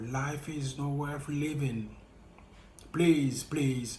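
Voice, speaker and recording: A man with a French accent, fairly high pitch, fairly even intonation and a very slow pace, with audible room echo. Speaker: vlogger sharing personal experience. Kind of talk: motivational monologue.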